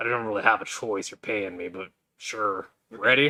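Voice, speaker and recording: The speaker uses a raspy, put-on character voice. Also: man, fairly low pitch for a man, moderate pace, ordinary pitch variation. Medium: actual play. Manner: curt, terse.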